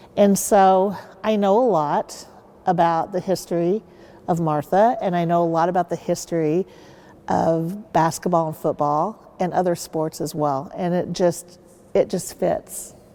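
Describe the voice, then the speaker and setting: With a Midwestern US accent, a woman talks at a fairly slow pace in a fairly low, dark, mellow voice with fairly even intonation. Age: 60s. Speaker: university sports mascot performer. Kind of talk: interview.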